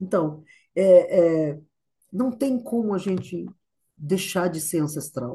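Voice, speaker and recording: A woman's fairly low, dark and mellow, somewhat breathy voice with lively intonation, at a very slow pace with long, frequent pauses. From Brazil, sertão of Ceará. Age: 60s. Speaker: actress and choreographer. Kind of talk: interview. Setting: video call. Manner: animated.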